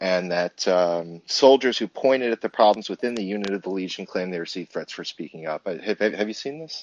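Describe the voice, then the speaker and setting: In a normal speaking voice, a man talks at a fairly quick pace and fairly low pitch, with ordinary pitch variation and big swings in loudness. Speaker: caller. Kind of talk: call-in discussion. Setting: phone or app call.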